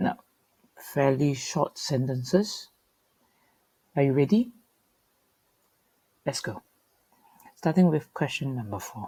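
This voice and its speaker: Somewhat breathy and dark, mellow in tone, a woman with a very deep, low pitch speaks at a very slow pace, with very wide pitch swings, big swings in loudness and long, frequent pauses. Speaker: teacher. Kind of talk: tutorial.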